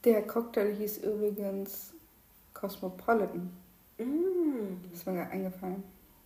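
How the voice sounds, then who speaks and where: In a room with audible echo, a woman speaks at a very slow pace, her medium-pitched voice somewhat breathy and dark and mellow in tone, with ordinary pitch variation. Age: 20s. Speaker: podcast co-host, lab chemist. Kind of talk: casual chat. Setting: at home at the dining table.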